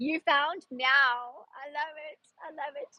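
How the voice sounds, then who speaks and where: With an American accent, a woman speaks using lively intonation. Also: dry, close sound with no echo. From South Africa. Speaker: personal stylist and clothing seller. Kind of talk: live-stream sales chat. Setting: outdoors in a busy park. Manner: animated.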